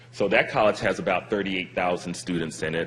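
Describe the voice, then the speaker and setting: Over noticeable background noise, a man talks at a very fast pace with a very deep, low pitch and fairly even intonation. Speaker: university chief academic officer. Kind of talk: panel presentation.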